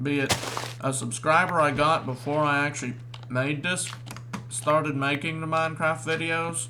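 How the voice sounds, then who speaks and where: Noticeable background noise and audible room echo surround the recording. A man with a fairly high pitch talks at a moderate pace. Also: fairly even intonation. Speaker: gaming youtuber. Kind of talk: gameplay commentary. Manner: stuttering.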